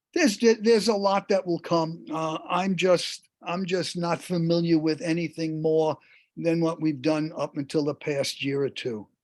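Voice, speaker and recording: A man's high voice, ordinary pitch variation, and a fairly slow pace. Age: 70s. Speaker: movie theater industry veteran. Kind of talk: interview. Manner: hesitant, many fillers.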